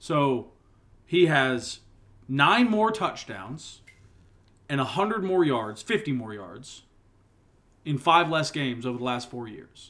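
A fairly high-pitched man with a bright, sharp tone, very slow and full of long, frequent pauses, with very wide pitch swings and big swings in loudness. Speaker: sports podcast co-host. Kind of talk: casual chat.

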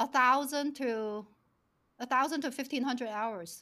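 A woman with a Chinese accent, a high pitch, a bright, sharp tone and a fairly slow pace. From China. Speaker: financial planner and company founder. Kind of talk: casual interview chat.

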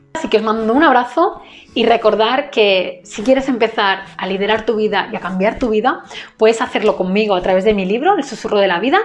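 A woman at a fairly high pitch and fairly quick pace, with ordinary pitch variation and noticeable background noise. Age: 20s. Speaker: entrepreneur and business coach. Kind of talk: monologue to camera.

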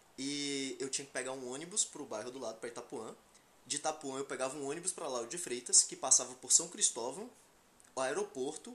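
The pace of speech is fairly quick. Noticeable background noise runs underneath. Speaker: podcast co-host. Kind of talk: casual chat.

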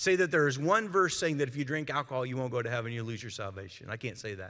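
A man with an American accent talks at a very fast pace. His tone is bright and sharp, and his intonation lively. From US, small community. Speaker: pastor. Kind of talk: evening youth-service sermon, conversational teaching through scripture. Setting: church service with live audience. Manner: animated, direct call-and-response questions to the congregation; earnest, emphatic with self-interrupting repetitions.

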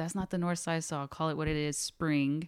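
A woman with an American accent speaks at a fairly quick pace in a very deep, low pitch. The recording is very clean, with a silent background. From Pasadena, Texas (Houston area). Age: 30s. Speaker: podcast co-host. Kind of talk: casual chat.

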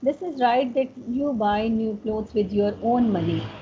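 Pitched fairly high, the woman's voice shows ordinary pitch variation against noticeable background noise. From Pakistan. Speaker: educator and slow fashion advocate. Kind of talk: interview.

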